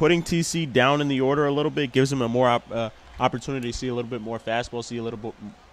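Over light background noise, a man talks at a very fast pace in a dry sound with no echo. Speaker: baseball color commentator. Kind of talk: sports broadcast color commentary. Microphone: headset.

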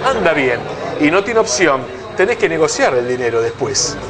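Amid noticeable background noise, a man speaks at a fairly quick pace. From Argentina. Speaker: football journalist and TV host; football journalist, TV host. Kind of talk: casual football discussion. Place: cafe.

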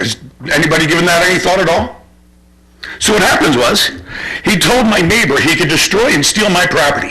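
A man's high voice at a fairly quick pace, broken by long, frequent pauses, with ordinary pitch variation, very even loudness, audible room echo and noticeable background noise. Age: 60s. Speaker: resident making public comment. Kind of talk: public comment at township meeting. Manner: halting.

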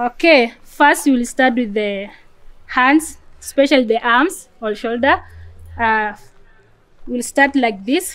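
A woman's high-pitched voice at a fairly slow pace, with ordinary pitch variation and long, frequent pauses. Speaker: refugee athlete leading exercises. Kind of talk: guided workout. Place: garden. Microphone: phone near.

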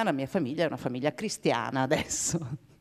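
A woman speaks against a quiet background. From United States. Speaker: peace activist; speaker. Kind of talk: panel debate. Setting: theatre stage with audience. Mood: warm, smiling, anecdotal. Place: stage. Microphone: handheld.

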